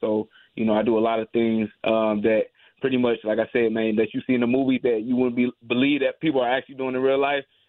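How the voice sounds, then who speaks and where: The speech comes at a very fast pace with an American accent. Its intonation is monotone and flat. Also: man. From US Midwest, St. Louis. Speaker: MMA fighter. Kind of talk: radio interview.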